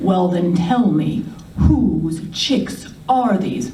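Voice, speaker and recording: Putting on a growling character voice, a woman speaks at a very slow pace and medium pitch with very wide pitch swings, with audible echo. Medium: read story. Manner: giggling, hesitant.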